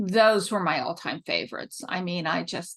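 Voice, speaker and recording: A woman talks at a moderate pace. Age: 60s. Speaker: author. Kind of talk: interview answers. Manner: animated; reading prepared answers.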